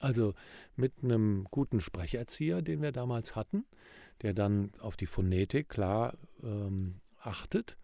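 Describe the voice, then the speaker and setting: A man at a fairly low pitch with a dark, mellow tone and ordinary pitch variation, at a very slow pace, in a very clean recording with a silent background. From Rhineland, Germany. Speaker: professional speaker and presentation coach. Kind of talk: casual podcast chat.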